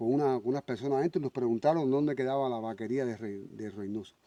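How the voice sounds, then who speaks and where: The man's dark, mellow voice sits at a medium pitch and moves at a fairly quick pace, with a dry, close sound and no echo. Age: 60s. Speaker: vlogger. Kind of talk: casual vlog narration.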